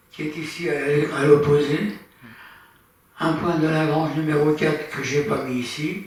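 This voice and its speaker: At a fairly slow pace, a man with a fairly high pitch speaks amid noticeable background noise and audible room echo. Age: 80s+. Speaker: amateur astronomy speaker. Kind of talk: lecture. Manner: halting.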